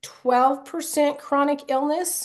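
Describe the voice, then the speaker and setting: At a fairly slow pace, a voice with an American accent speaks over music in the background. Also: woman. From USA. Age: 60s. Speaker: vaccine injury advocate. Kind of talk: interview testimony.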